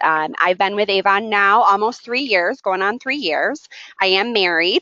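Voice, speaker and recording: A woman with a plain, everyday voice and an American accent, medium in pitch, with lively intonation at a moderate pace. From New York state, small industrial town. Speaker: sales leadership trainer. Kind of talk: online training seminar. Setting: web conference.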